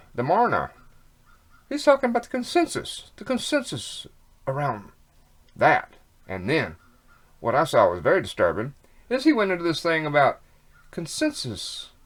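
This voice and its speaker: In a very clean recording with a silent background, a man talks with long, frequent pauses. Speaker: online commentator. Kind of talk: casual monologue. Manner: fast; halting.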